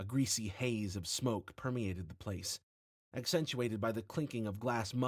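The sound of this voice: Against a quiet background, a speaker reads in an unforced reading voice with ordinary pitch variation.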